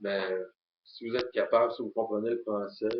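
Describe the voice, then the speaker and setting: This man has a fairly low-pitched voice and speaks with a Quebec accent. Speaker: YouTuber. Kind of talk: casual vlog monologue. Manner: halting, many filler sounds.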